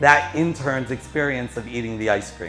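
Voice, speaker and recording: A man is speaking. Music plays in the background. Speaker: motivational speaker, coach, consultant. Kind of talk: keynote speech to audience.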